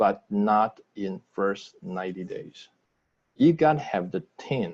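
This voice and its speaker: In a Taiwanese accent, a man speaks at a very slow pace. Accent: non-native English, Taiwanese. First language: Mandarin. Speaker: business trainer. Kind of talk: sales training webinar. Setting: video call. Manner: halting.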